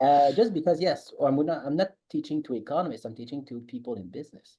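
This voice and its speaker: Talking at a very fast pace with a Quebec accent, a man with a fairly high pitch has a dark, mellow tone and big swings in loudness. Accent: French Canadian accent in English. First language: French. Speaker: economics professor. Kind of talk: podcast interview. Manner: halting.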